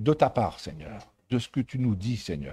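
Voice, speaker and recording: In a dark, mellow tone with ordinary pitch variation, a man speaks in a dry, close sound with no echo. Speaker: preacher. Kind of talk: sermon. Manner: stumbling, halting.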